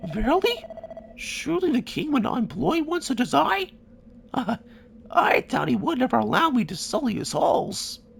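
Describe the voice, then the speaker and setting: In a put-on character voice, a man talks at a moderate pace with an extremely high pitch and long, frequent pauses. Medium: machinima. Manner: archaic, mournful.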